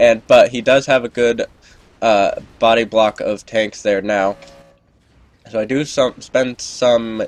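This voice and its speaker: A man at a medium pitch and fairly slow pace, with music in the background. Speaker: gamer and game commentator. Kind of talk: gameplay commentary. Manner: casual, hesitant with fillers.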